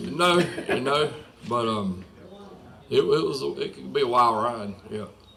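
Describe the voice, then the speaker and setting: With a Southern US accent, a man speaks with big swings in loudness over noticeable background noise. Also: fairly slow pace. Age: 60s. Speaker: retired motorcycle racer. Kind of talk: casual interview chat.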